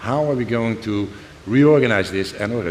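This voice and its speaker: A man speaks with lively intonation. Room echo is audible, and there is noticeable background noise. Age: 60s. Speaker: semiconductor executive. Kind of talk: panel discussion. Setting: stage with audience.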